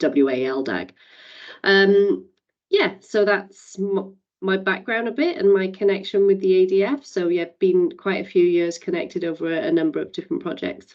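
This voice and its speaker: A woman speaks in a Welsh accent at a medium pitch. Her pitch swings very widely at a moderate pace. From Wales. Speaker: community advisory council member. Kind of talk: meeting introduction.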